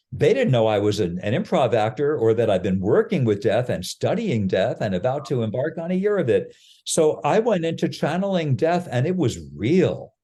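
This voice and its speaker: Over a quiet background, a man with a dark, mellow tone and vocal fry talks at a moderate pace with hardly any pauses, his fairly high pitch swinging very widely. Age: 70s. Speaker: improv actor and ritual facilitator. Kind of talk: podcast interview. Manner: halting, with many fillers and restarts.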